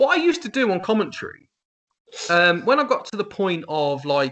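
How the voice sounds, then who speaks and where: A man's bright, sharp voice in an English Midlands accent, very wide pitch swings, quiet background. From England, Northamptonshire. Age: 40s. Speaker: wrestling commentator. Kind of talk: casual interview chat. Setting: face to face interview. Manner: fast.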